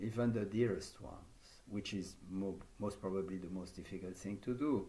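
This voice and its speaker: A man with a French accent speaks at a fairly slow pace. Room echo is audible. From France. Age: 70s. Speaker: yoga teacher trainer. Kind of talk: conference talk.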